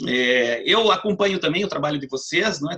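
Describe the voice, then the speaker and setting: This man, speaking in a southern Brazilian accent, has a fairly high pitch and a bright, sharp tone. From southern Brazil, Paraná. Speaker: law professor. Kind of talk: lecture. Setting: video call.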